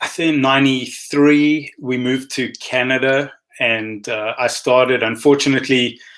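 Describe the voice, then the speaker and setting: A man with a South African accent and monotone, flat intonation. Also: medium pitch for a man, moderate pace. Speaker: optometrist. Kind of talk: interview.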